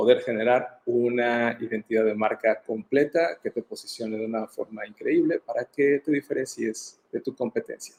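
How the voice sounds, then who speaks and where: A man speaks with a Mexican accent at a fairly quick pace, barely pausing. His loudness swings widely, and the sound is dry and close with no echo. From Mexico. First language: Spanish. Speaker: brand designer. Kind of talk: interview. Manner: halting.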